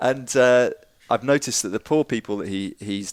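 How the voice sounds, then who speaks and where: A man with a British accent at a moderate pace and medium pitch, in a dry, close sound with no echo on a very clean recording with a silent background. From England, London area. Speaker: psychoacoustics researcher. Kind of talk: casual interview chat.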